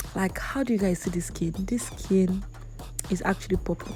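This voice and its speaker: A dark, mellow tone, somewhat breathy. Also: woman. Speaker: makeup artist. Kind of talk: tutorial. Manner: fast; chatty.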